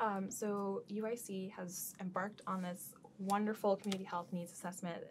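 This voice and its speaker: A woman's somewhat breathy voice with an American accent and fairly even intonation, over light background noise. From Seattle, US Pacific Northwest. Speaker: social worker; guest. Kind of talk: interview. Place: studio.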